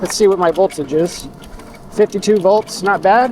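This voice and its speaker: Amid noticeable background noise, a high-pitched man mumbles at a fairly quick pace. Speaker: e-bike vlogger. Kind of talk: casual ride vlog narration. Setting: outdoors riding a bike. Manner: mumbling.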